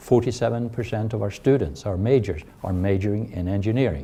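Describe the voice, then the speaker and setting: A man speaks with a Swedish accent at a fairly low pitch. His tone is dark and mellow, and somewhat breathy. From Sweden. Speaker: university chancellor. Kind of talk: interview. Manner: hesitant with fillers.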